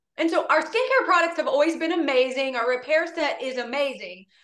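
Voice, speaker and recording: A raised, projected voice with a bright, sharp tone moves at a fairly quick pace. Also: woman. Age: 40s. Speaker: beauty consultant, sales director. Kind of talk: guest presentation.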